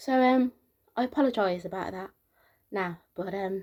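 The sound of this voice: A soft-spoken woman at medium pitch, slightly mellow in tone, at a moderate pace with ordinary pitch variation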